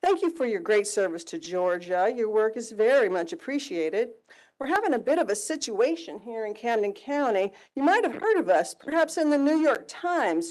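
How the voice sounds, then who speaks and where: A woman speaks loudly at a fairly high pitch. Her pitch swings very widely. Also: moderate pace, quiet background. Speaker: public commenter at county meeting. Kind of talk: public comment, reading a letter aloud. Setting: public meeting room.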